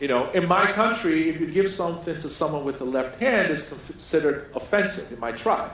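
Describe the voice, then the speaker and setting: A man talks fairly quickly in a high voice with lively intonation. Noticeable background noise and audible room echo fill the recording. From Nigeria. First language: a Nigerian language. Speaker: keynote speaker. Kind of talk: keynote speech. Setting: conference stage with audience.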